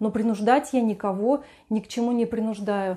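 A woman talks fairly quickly with a fairly high pitch and a dark, mellow tone. The background is quiet. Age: 50s. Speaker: lifestyle vlogger. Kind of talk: video blog monologue. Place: home room. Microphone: lapel.

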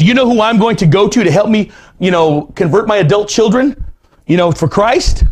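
Here a man speaks with a high pitch. His intonation is lively.

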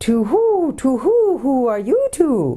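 A high-pitched, put-on character voice.

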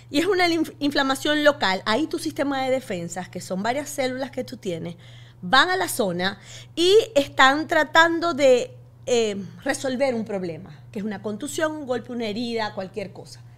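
Very wide pitch swings in the high voice of a woman. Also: moderate pace. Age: 50s. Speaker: physician and author; podcast guest. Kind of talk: interview. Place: studio. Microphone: studio mic.

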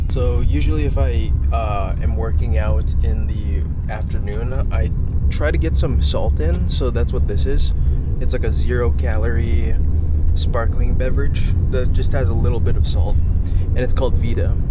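The man's voice is dry with no echo, though loud background noise fills the recording. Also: moderate pace. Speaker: vlogger. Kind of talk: casual vlog chat. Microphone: phone near.

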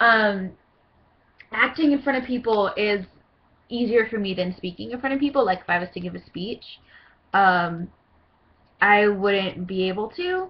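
A woman with a bubbly tone talks at a moderate pace and medium pitch, with ordinary pitch variation, big swings in loudness and long, frequent pauses. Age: 20s. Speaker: cosplayer auditioning for a voice role. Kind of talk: audition video monologue. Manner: hesitant, many fillers; bubbly, hyper. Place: home room. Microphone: webcam.

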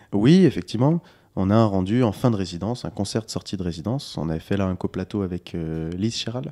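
Against a quiet background, a man with a dark, mellow tone and fairly low pitch speaks with lively intonation. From France, Lyon region (Monts du Lyonnais); France. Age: 20s. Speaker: singer-songwriter; interviewee. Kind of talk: interview. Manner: hesitant, repeats words. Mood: relaxed, friendly. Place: kitchen. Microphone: handheld.

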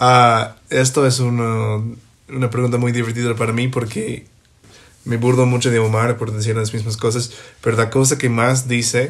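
At a fairly slow pace with long, frequent pauses, a man speaks at medium pitch. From US, Ohio. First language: English (speaking Spanish). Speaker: podcast guest, host's best friend. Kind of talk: casual chat. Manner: halting.

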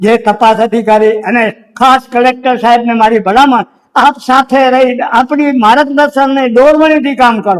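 A man talks at an extremely high pitch with fairly even intonation. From Kutch, Gujarat. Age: 70s. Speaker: village activist. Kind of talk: interview testimony.

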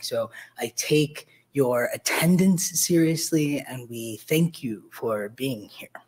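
Ordinary pitch variation runs through a man's speech at a fairly slow pace. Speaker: event host introducing a talk. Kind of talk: formal introduction speech. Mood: warm, lightly joking. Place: hall. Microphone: podium.

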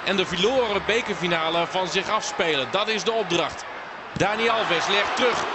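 A man at a high pitch with ordinary pitch variation and a moderate pace, over noticeable background noise. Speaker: football commentator. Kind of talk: live football commentary over match highlights. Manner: fluent, informed and analytical, mixing match context with action.

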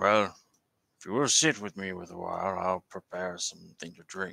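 A man with a very deep, low pitch speaks at a moderate pace with ordinary pitch variation, the sound dry and close with no echo. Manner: wary, formal, old-fashioned.

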